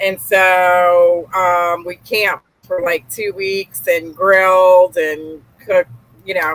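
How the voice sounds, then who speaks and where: Fairly slow speech from a woman, medium in pitch. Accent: Gulf Coast. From US South, Louisiana and Mississippi. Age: 40s. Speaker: real estate investor. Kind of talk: podcast interview. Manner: casual, many fillers.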